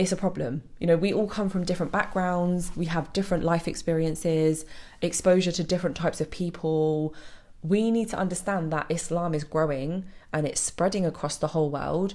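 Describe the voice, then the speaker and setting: A woman's fairly low, dark and mellow voice with a British accent, fairly even intonation and a fairly quick pace, on a very clean recording with a silent background. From Britain. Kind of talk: video monologue. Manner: fast.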